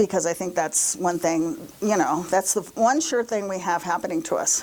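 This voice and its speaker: A woman with a medium pitch talks while noticeable background noise fills the backdrop. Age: 70s. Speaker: minister. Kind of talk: sermon.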